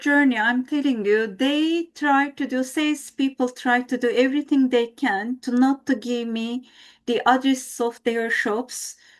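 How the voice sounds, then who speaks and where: A woman with a Turkish accent, high-pitched, with fairly even intonation and hardly any pauses, on a very clean recording with a silent background. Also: fairly slow pace. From Turkey. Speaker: team member, former radio journalist. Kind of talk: podcast interview. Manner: halting.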